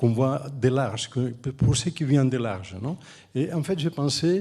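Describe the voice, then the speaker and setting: A man's somewhat breathy voice, dark and mellow in tone, at a very slow pace. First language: Catalan or Spanish (speaking French). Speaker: architect and urban planner, professor. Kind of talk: panel discussion. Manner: halting, with frequent restarts.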